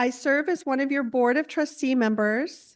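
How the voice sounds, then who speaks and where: Against a quiet background, a woman with a warm tone speaks at a moderate pace. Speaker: congregation board member giving welcome. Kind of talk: church announcements. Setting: church sanctuary. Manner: warm, with filler words.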